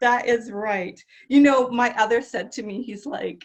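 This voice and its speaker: Loud and fairly high-pitched, a woman speaks at a fairly slow pace. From Italian-American family. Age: 50s. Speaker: interview show host. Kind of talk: interview.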